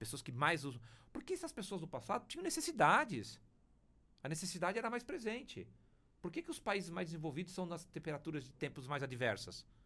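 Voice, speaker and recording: A man with a high-pitched voice speaks at a fairly quick pace, his bright, sharp tone swinging very widely in pitch. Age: 50s. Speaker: publishing company executive. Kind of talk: interview conversation. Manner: hesitant, repeats words.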